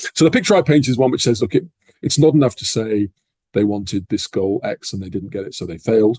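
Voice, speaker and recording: Somewhat breathy and dark, mellow in tone, a man with an English accent speaks at a very fast pace in a dry, close sound with no echo. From England. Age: 60s. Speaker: professor. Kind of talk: interview. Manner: measured.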